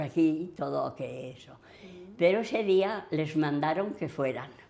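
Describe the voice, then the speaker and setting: A woman with a Madrid accent, fairly low pitch, lively intonation and a fairly slow pace. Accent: Castilian Spanish (Madrid region). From Villanueva de la Cañada, Madrid region, Spain. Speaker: oral history witness. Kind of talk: interview answer.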